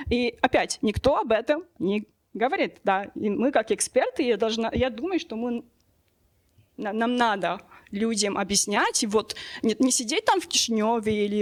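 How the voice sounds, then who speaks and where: The speaker has a non-native accent and lively intonation. The pace is moderate, with long, frequent pauses. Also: woman. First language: not Russian (speaking Russian). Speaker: sociologist. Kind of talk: panel discussion. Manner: halting, many fillers.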